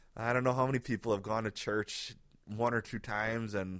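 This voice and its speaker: Speaking at a fairly quick pace, a man has a medium pitch and a normal speaking voice. The recording is very clean, with a silent background. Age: 30s. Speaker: pastor and podcast host. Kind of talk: casual solo podcast monologue. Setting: home living room. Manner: relaxed, conversational.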